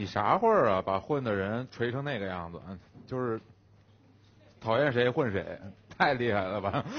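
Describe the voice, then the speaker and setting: A man's animated voice at medium pitch, moderate pace, with long, frequent pauses. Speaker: werewolf game player. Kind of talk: casual game banter. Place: studio. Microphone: headset.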